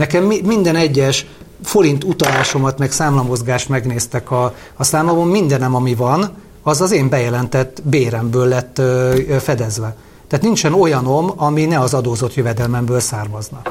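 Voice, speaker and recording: A somewhat breathy, medium-pitched male voice at a very even loudness. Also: ordinary pitch variation, moderate pace. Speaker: lawyer and parliamentary candidate. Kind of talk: interview. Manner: halting.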